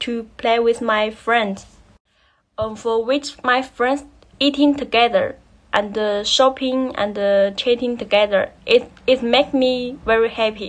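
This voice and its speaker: Speaking at a very slow pace with a Chinese accent, a woman uses a high pitch and fairly even intonation. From China, Anhui province. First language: Mandarin Chinese. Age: 20s. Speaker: graduate student. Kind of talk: recorded self-introduction assignment. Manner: halting, many fillers. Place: home room. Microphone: phone near.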